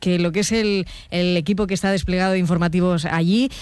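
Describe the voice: Speaking fast, a woman keeps her intonation fairly even, with a slightly mellow tone. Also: fairly low pitch for a woman.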